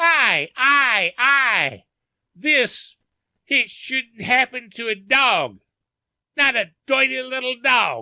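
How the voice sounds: The put-on character voice is high-pitched and hoarse. It moves at a very slow pace.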